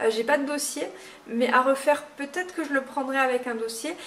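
The intonation stays fairly even. Light background noise sits behind the voice. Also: woman. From Moselle, France. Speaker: nail technician trainer. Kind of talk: tutorial; advice talk to camera. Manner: halting, many fillers.

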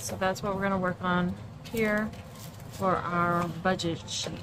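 Music behind a woman's fairly low-pitched voice, delivered at a moderate pace. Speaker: budgeting creator. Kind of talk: casual tutorial vlog chat.

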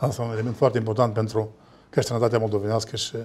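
The man's tone is dark and mellow. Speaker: political analyst. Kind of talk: panel discussion on TV. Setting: studio. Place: studio.

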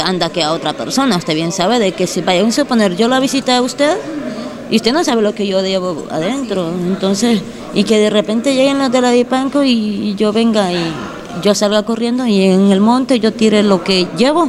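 The woman talks at a moderate pace with lively intonation. Noticeable background noise runs underneath. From Honduras. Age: young. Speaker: detained woman; interviewee. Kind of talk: interview. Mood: defensive, earnest. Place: hall. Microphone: handheld.

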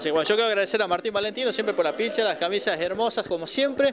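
A man talks at a very fast pace in a high pitch, with clear background noise. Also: ordinary pitch variation.

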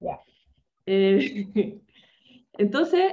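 A woman speaks with a Chilean accent against a quiet background. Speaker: humor trainer, corporate coach. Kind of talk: presentation in a webinar. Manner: animated. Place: home room. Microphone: webcam.

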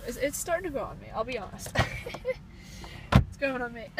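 A woman talks at a fairly quick pace over loud background noise, with a dry sound and no echo. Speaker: car buyer vlogger. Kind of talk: casual vlog chat. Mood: mildly enthusiastic. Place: shop. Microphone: phone near.

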